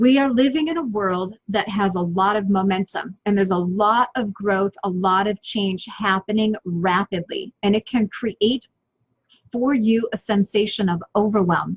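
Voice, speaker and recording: A woman of medium pitch speaks fairly slowly in an energetic, somewhat breathy tone with ordinary pitch variation. The sound is dry and close, with no echo. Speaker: business coach and online show host. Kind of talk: motivational talk on a live stream.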